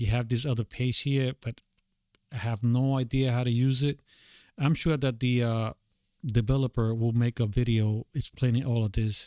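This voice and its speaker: A speaker with a non-native accent has a dark, mellow tone, fairly even intonation and very even loudness at a moderate pace. The recording is very clean, with a silent background. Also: man, medium pitch for a man. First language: not English. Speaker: tutorial creator, beatmaker. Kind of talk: screen-recorded tutorial. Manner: halting, many fillers; casual.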